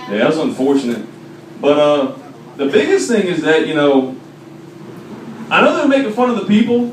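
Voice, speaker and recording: Loud speech at a moderate pace, with very wide pitch swings, long and frequent pauses, audible room echo and noticeable background noise. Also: man, fairly high pitch for a man. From Washington DC area. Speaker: comedian. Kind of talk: stand-up. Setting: stage with audience.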